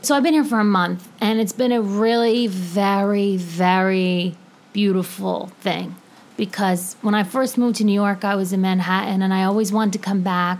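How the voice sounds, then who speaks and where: This woman has an unremarkable speaking voice with medium pitch and fairly even intonation. She keeps a moderate pace and very even loudness. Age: 30s. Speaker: podcast host. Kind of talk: casual monologue. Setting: home apartment.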